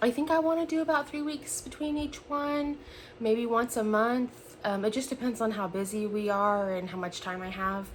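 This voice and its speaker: Moderately paced speech from a woman, somewhat breathy, with lively intonation. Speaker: cross-stitch video creator. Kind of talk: casual chat. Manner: hesitant, many fillers.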